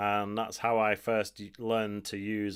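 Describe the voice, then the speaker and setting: On a very clean recording with a silent background, the words unfold at a fairly slow pace. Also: man. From northern England, Macclesfield, Cheshire. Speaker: music producer and DJ. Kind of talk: tutorial. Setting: live stream. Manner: casual, toned-down slang.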